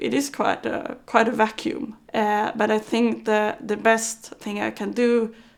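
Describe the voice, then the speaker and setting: A woman at a fairly slow pace, on a very clean recording with a silent background. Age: 20s. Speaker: paracycling athlete. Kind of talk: interview. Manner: halting, repeats words.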